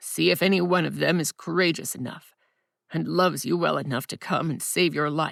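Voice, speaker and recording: Someone performs a raspy, put-on character voice at a middle pitch and moderate pace, in a very clean recording with a silent background. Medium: read story. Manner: stern, menacing.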